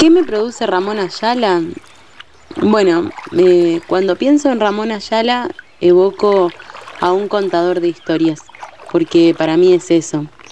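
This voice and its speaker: Over noticeable background noise, a woman speaks at a fairly slow pace with long, frequent pauses and ordinary pitch variation. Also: medium pitch for a woman. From Entre Ríos, Argentina. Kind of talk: personal reflection.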